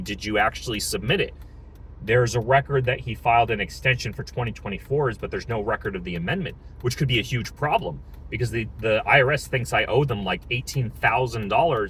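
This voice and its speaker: Marked by vocal fry, the bright, sharp voice moves at a fairly quick pace. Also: man. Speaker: small business owner vlogger. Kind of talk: casual vlog update. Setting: in a car, driving. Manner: fast; hesitant, many fillers and repeats.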